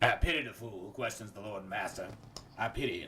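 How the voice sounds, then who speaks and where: A man's put-on character voice at medium pitch, delivered at a very fast pace. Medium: comedy sketch. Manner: booming, pompous.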